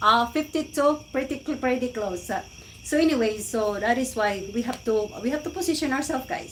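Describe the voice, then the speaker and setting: Against noticeable background noise, a woman with a high pitch speaks at a moderate pace with ordinary pitch variation. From Philippines, Cebu. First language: Cebuano/Filipino. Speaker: live-stream vlogger. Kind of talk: casual live-stream chat. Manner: animated.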